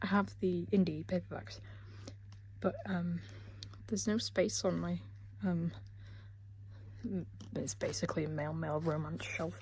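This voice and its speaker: Quietly and at a moderate pace, a woman speaks with long, frequent pauses. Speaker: book vlogger. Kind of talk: casual vlog. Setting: parents' room at home.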